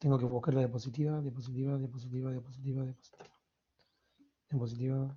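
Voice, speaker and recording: A man's medium-pitched, somewhat breathy voice, very fast yet with long, frequent pauses, monotone and flat. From Argentina, Córdoba. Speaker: university lecturer. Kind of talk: lecture.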